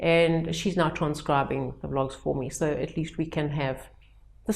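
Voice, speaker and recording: A woman speaks at a moderate pace with a strong South African accent. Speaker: educator running personal development retreats. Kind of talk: vlog talk to camera. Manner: conversational with hesitations and restarts.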